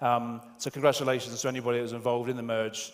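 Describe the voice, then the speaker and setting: At a fairly quick pace, a medium-pitched man with a British accent speaks amid audible room echo. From UK. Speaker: software tester, conference speaker. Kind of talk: conference talk. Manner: halting, many fillers.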